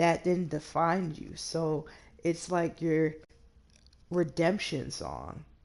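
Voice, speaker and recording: A woman's very slow, monotone, flat delivery with vocal fry, long, frequent pauses, and big swings in loudness. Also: fairly low pitch for a woman. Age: 20s. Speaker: gaming streamer. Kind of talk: casual chat. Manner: halting.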